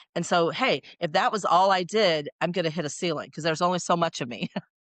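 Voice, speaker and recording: The background is quiet, and the sound is dry and close with no echo. A woman talks in a very deep, low voice with fairly even intonation. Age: 60s. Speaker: sales coach. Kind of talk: podcast interview.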